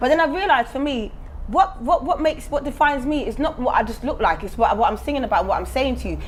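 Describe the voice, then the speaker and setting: A woman with a high pitch speaks at a very fast pace, her pitch swinging very widely, over noticeable background noise. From Germany. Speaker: singer. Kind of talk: casual chat. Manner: animated.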